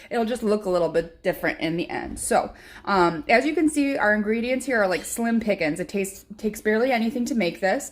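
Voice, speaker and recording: With a Chicago accent, a woman talks at a fairly quick pace and hardly any pauses, her fairly high pitch moving in very wide swings. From Chicago area, US Midwest. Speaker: home cooking vlogger. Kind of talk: cooking tutorial. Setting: home kitchen. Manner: casual, frequent filler words.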